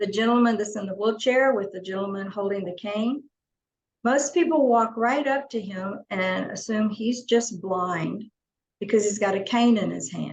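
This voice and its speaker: With an Arkansas accent, the speaker sounds somewhat breathy, moving at a moderate pace with ordinary pitch variation. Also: woman. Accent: Southern US (Arkansas). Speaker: company CEO presenting on deaf accessibility. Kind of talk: webinar presentation. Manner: stutter; casual, conversational.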